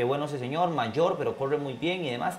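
A man speaks at a fairly high pitch. Light background noise is present. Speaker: race broadcaster. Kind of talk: interview answer. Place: studio.

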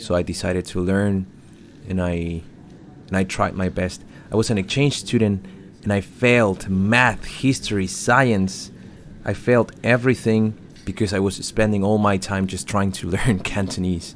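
In a Spanish accent, a man talks with fairly even intonation and a fairly low pitch. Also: moderate pace. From Chile. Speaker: livestream commentator and interpreter. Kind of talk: live stream commentary with chat Q&A. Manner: halting, repeats words.

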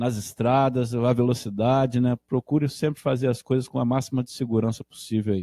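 Against a quiet background, a man's dark, mellow tone stays monotone and flat. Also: dry sound with no echo. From Brazil (Portuguese-born, arrived at age 5). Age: 50s. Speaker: motorcycle club director. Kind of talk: casual live radio interview. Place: home room.

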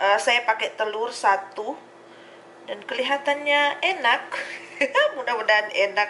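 Over faint background noise, a woman speaks at a fairly high pitch with a bright, sharp tone. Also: lively intonation, fairly slow pace.

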